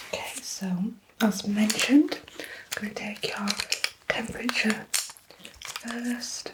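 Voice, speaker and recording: A woman whispers in a gentle tone at a very slow pace, leaving long, frequent pauses. Noticeable background noise runs underneath. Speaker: ASMR artist. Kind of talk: ASMR roleplay, student nurse, personal attention. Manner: soft-spoken, gentle.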